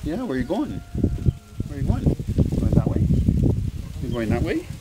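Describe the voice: Over faint background noise, a man with a dark, mellow tone and a fairly high pitch talks at a moderate pace, his pitch swinging very widely.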